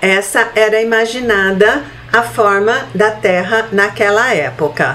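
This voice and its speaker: Speaking at a very slow pace, a woman is heard over noticeable background noise and audible room echo. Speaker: spiritist lecturer. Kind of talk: lecture. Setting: online meeting.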